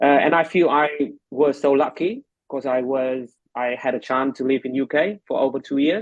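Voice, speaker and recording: A man's fairly high-pitched voice with a Vietnamese accent. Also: ordinary pitch variation, moderate pace. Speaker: medical lecturer and English tutor. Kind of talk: casual interview. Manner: hesitant, many fillers.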